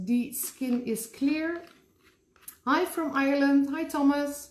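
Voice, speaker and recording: Speaking very slowly, a woman has a Dutch accent. Her voice is somewhat breathy. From Netherlands. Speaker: special effects makeup artist. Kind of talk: live tutorial. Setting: live online class from her store. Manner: casual, with frequent fillers.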